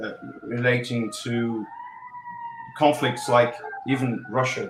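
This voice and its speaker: With music in the background and audible room echo, a man speaks at a fairly slow pace and medium pitch with fairly even intonation. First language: Portuguese. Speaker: election analyst. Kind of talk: panel discussion. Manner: halting, many fillers.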